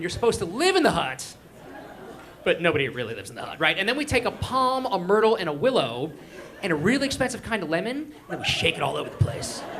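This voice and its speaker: Crowd noise and audible room echo surround a man speaking at a very fast pace. His high voice makes very wide pitch swings and big swings in loudness. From Israel. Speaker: stand-up comedian. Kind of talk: stand-up. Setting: stage with audience. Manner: animated.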